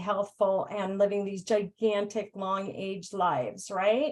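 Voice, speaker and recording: A woman speaks at a moderate pace and a medium pitch in an unremarkable speaking voice. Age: 50s. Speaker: network marketing team leader. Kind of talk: webinar Q&A.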